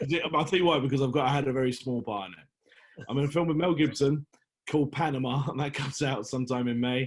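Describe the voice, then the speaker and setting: A man with a British accent at a very fast pace, fairly high in pitch, with ordinary pitch variation. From London, England. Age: 40s. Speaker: actor. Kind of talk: casual chat. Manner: halting.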